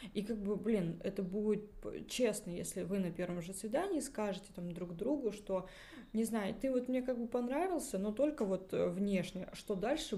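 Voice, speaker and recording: Her medium-pitched voice carries lively intonation as a woman talks at a moderate pace amid audible room echo. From Russia. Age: 30s. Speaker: podcast host. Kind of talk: casual chat.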